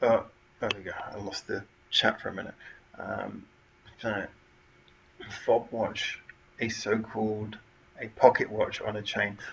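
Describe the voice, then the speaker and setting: Over noticeable background noise, a man talks fairly slowly with long, frequent pauses and big swings in loudness. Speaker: livestream host. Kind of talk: live stream chat. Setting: home front room. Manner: quieter than usual.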